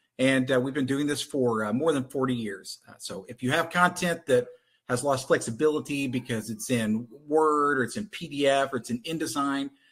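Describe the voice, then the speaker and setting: A man with a Texan accent speaks at a moderate pace. His pitch is medium, with ordinary variation. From Texas. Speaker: content conversion company representative. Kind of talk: webinar presentation.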